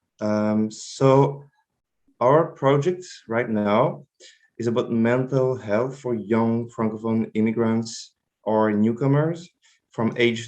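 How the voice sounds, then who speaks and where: In a French accent, a man with a medium-pitched voice and ordinary pitch variation speaks at a very slow pace. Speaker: health project manager. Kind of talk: presentation. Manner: halting, many fillers.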